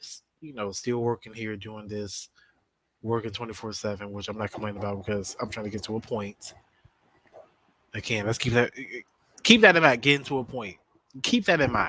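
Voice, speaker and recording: With a bright, sharp tone and a fairly low pitch, a man speaks at a fairly quick pace, his loudness swinging widely and his intonation fairly even, broken by long, frequent pauses. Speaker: online talk show host. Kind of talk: casual solo talk show monologue. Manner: halting, with repeated words.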